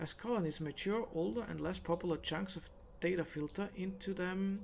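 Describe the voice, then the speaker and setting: A non-native accent colors the speech. The delivery moves fairly quickly. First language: not English. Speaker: gaming YouTuber. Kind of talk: reading aloud; casual chat. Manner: halting, self-correcting.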